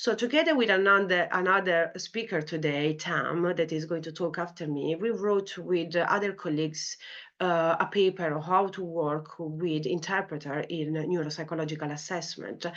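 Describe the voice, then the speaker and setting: A woman with an Italian accent, fairly low-pitched, at a moderate pace with hardly any pauses, fairly even intonation, and a quiet background. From Italy. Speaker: clinical psychology lecturer. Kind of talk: academic talk. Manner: hesitant, many fillers.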